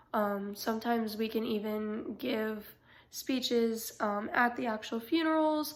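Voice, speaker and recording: Audible room echo surrounds a woman speaking at a fairly slow pace, her fairly high pitch showing ordinary variation. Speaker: college student. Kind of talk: class presentation. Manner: halting, many fillers.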